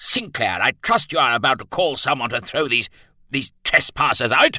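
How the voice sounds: A put-on character voice with a bright, sharp tone swings widely in pitch. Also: man, medium pitch for a man, moderate pace.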